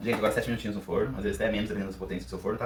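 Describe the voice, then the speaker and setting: Lively intonation colors this man's fairly low-pitched voice. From Brazil, Paraná. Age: 30s. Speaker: pastry chef. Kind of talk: cooking audition video with tutorial.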